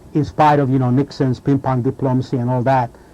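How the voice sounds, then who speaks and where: With a Hungarian accent, a man speaks fairly quickly at a medium pitch, his tone dark and mellow and his intonation monotone and flat. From Hungary. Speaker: sports writer. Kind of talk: interview.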